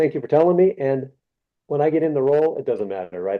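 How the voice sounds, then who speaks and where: Talking at a very fast pace, a man keeps a fairly high pitch with ordinary pitch variation. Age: 60s. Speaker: archery business executive and candidate for sport federation president. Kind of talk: interview. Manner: halting.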